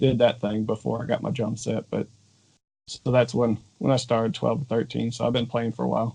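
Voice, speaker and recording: Dark and mellow with vocal fry, a man's medium-pitched voice moves at a fairly quick pace in monotone, flat intonation. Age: 30s. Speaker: drummer, video creator. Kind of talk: casual interview chat.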